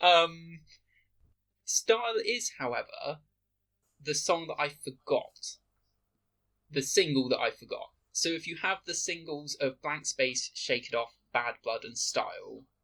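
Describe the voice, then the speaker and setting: A man speaks in a British accent at a fairly slow pace. His pauses are long and frequent. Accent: very British, Queen's English. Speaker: podcast co-host. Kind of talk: casual chat. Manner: proper, posh pronunciation.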